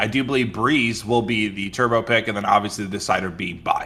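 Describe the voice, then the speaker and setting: The man's voice has a bright, sharp tone. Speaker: esports caster. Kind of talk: live commentary. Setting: casting booth at LAN event.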